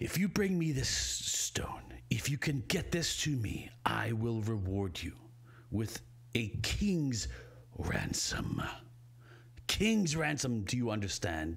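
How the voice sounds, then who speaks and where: A man in a put-on, rumbling character voice at medium pitch, with very wide pitch swings, a fairly slow pace and long, frequent pauses. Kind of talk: game master voicing a villain. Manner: temperamental, menacing.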